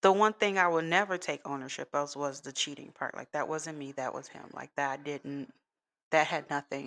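A woman's very deep, low voice in an American accent, on a very clean recording with a silent background. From US Midwest, Chicago. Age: 30s. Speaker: podcaster. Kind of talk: personal monologue. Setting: home recording.

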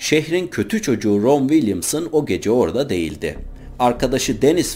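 Vocal fry and very wide pitch swings at a moderate pace. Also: man. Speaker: true-crime narrator. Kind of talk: true-crime storytelling narration.

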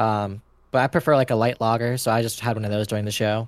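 An unremarkable speaking voice from a man with an American accent, medium pitch and a fairly quick pace, in a dry, close sound with no echo. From Los Angeles, California. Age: 20s. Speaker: podcast guest, roller coaster enthusiast. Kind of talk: casual chat.

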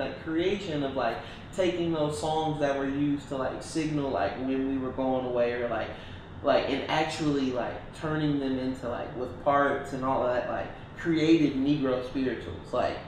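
A man with a fairly high pitch and ordinary pitch variation talks at a moderate pace, with noticeable background noise and audible room echo. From Detroit, Michigan. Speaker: musician. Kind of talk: casual chat.

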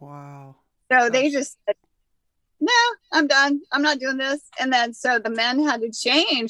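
A woman with a high, bright, sharp voice speaks fairly slowly and with fairly even intonation, raising and projecting her voice and pausing long and often. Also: big swings in loudness. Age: 60s. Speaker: cannabis expert and healer. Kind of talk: casual chat.

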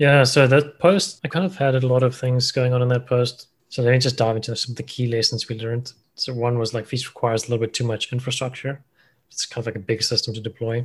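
Against a quiet background, a man talks at a very fast pace and a medium pitch. His voice is somewhat breathy, with fairly even intonation. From South Africa, Cape Town. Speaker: machine learning engineer. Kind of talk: interview. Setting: call.

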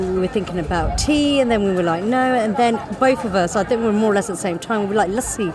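In an English Midlands accent, a woman talks at a very fast pace with a medium pitch. Her pitch varies in an ordinary way over crowd noise in the background. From English Midlands, first-generation British Indian. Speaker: gin company co-founder. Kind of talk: casual interview chat. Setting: outdoors in a yard, sunny and windy. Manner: laughs often.

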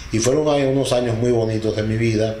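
Through noticeable background noise and audible room echo, a man speaks at a medium pitch with fairly even intonation. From Venezuela, Delta Amacuro, rural village. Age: 60s. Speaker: father-in-law sharing life story. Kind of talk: interview, personal life story. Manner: hesitant, many fillers and repeats.

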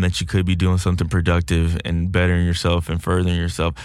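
Over a silent background in a very clean recording, a man with an American accent talks fairly quickly in a very deep, low pitch. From Texas. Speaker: podcast guest, former athlete. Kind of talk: casual chat. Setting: studio.

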